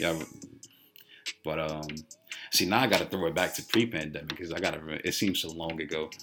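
Over noticeable background noise, a man with a very deep, low pitch talks at a fairly quick pace with ordinary pitch variation and long, frequent pauses. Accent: American. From Chicago, US Midwest. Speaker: college student. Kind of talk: casual chat, welcome talk to freshmen.

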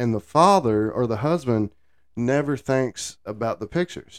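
A man with an unremarkable speaking voice talks in a medium pitch with lively intonation. His pace is fairly slow, and the sound is dry and close with no echo. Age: 40s. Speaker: country music podcast co-host. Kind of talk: casual chat. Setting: studio.

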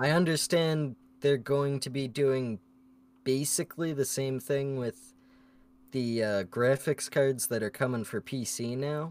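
An unremarkable speaking voice, a man of medium pitch talks at a fairly slow pace with ordinary pitch variation. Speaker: podcast co-host. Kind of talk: casual chat.

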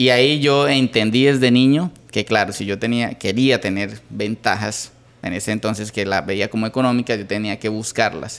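At a moderate pace and medium pitch, a man with a normal speaking voice talks with ordinary pitch variation. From Colombia, Santander (Bucaramanga). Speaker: entrepreneur, electronics repair business owner. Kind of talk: interview.

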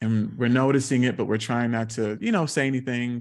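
The speaker has a normal speaking voice with an American accent and ordinary pitch variation. The background is quiet. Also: man. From South Carolina. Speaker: speech-language pathologist and actor. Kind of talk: interview.

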